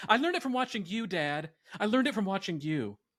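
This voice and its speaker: The recording is very clean and the background silent. With an American accent, a man is talking. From US South, Georgia. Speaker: podcast co-host. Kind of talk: casual chat.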